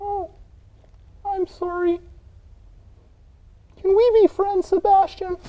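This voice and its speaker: A cartoonish character voice at an extremely high pitch drones in monotone, flat intonation at a fairly slow pace with long, frequent pauses. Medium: puppet.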